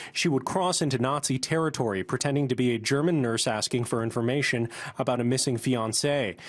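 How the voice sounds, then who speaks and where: Over a quiet background, a man with a plain, everyday voice talks at a fairly quick pace, medium pitch, and ordinary pitch variation. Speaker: TV news reporter. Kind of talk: TV news report narration.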